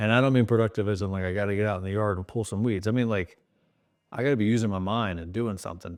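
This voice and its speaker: The man speaks in a fairly low pitch. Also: very clean recording, silent background. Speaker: YouTuber sharing diet journey. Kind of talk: casual vlog talk to camera. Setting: home video recording at night. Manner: monotone; not animated, flat delivery.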